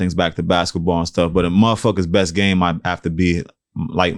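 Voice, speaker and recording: Very clean recording, silent background. A man with an American accent and a very deep, low pitch speaks at a fairly quick pace. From New York, the Bronx. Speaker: rapper and musician. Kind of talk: casual interview. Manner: soft-spoken.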